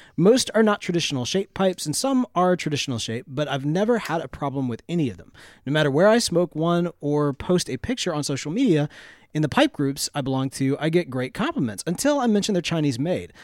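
A man with a Southern US accent, fairly high-pitched and lively, at a fairly quick pace in a very clean, dry, close recording with no echo and a silent background. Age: 30s. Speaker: pipe tobacco podcast host. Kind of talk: casual chat.

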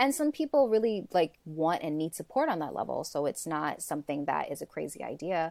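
A woman with an American accent speaks in a plain, everyday voice, fairly low in pitch, at a fairly quick pace with lively intonation. The recording is very clean with a silent background, dry and close with no echo. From US, Brooklyn, New York. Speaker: grief and death guide. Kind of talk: casual interview.

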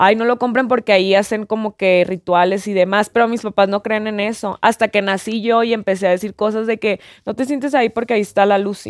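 The recording is very clean, and the background is silent. An ordinary speaking voice keeps a fairly quick pace with fairly even intonation. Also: woman, fairly high pitch for a woman. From Mexico, Mazatlán (Sinaloa). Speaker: content creator. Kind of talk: casual chat.

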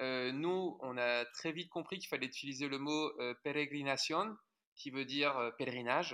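A man's fairly high, bright and sharp voice at a fairly slow pace, with ordinary pitch variation, on a very clean recording with a silent background. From France, Haute-Marne. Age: 30s. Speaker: adventurer and author. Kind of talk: interview conversation.

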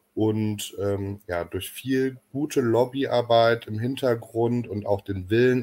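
With a plain, everyday voice, a man talks at a medium pitch, his intonation fairly even. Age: 30s. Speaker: football fan project worker. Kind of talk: podcast interview.

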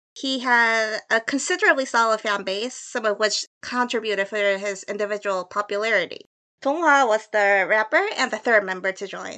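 The voice has a bright, sharp tone and a Korean accent, with ordinary pitch variation. It moves at a moderate pace over a quiet background. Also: woman, fairly high pitch for a woman. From South Korea, Seoul. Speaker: freelance translator. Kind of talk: scripted narration.

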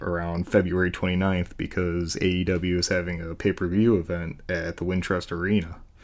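A man talks at a fairly quick pace in a very deep, low voice. The background is quiet. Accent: American. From Chicago area. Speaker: listener. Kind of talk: recorded voice message.

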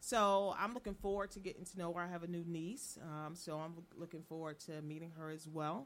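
A normal speaking voice, a woman's, fairly low-pitched and fairly quick, with ordinary pitch variation and hardly any pauses. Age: 50s. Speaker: co-host.

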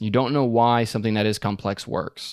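A man with a plain, everyday voice speaks at a fairly quick pace in a fairly low pitch with fairly even intonation. The recording is very clean with a silent background, dry and close with no echo. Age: 20s. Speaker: YouTuber teaching screenwriting. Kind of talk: interview.

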